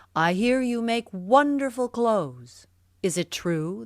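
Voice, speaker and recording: A woman puts on a character voice with fairly high pitch, lively intonation and a fairly slow pace. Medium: read story. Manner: eager, commanding.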